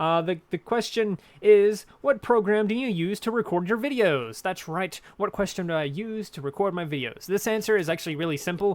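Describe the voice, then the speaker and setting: A loud, high male voice at a moderate pace, with hardly any pauses. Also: ordinary pitch variation. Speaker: gaming YouTuber. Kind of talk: casual Q&A chat. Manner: halting, many fillers.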